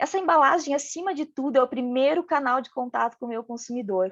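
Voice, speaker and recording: A woman with a regional Brazilian accent speaks at a moderate pace in a high voice, recorded dry and close with no echo against a quiet background. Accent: noticeable regional Brazilian. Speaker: packaging design speaker. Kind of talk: lecture.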